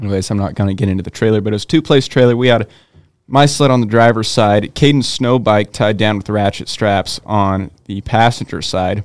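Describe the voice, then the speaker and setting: A man's fairly low voice with a Pacific Northwest accent, at a fairly quick pace with ordinary pitch variation, in a very clean recording over a silent background. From Eastern Oregon, US. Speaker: snowmobiler and electrician apprentice. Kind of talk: casual chat.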